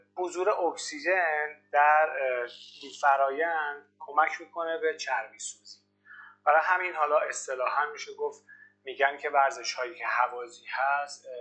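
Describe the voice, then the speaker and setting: A man with an unremarkable speaking voice, fairly high in pitch for a man, talks at a moderate pace with fairly even intonation but big swings in loudness. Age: 30s. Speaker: fitness coach. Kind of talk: interview.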